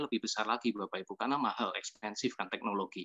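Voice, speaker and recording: The sound is dry and close, with no echo. A man speaks at a very fast pace. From Yogyakarta, Java. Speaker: restaurant owner and network-marketing presenter. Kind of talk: testimonial presentation to an audience.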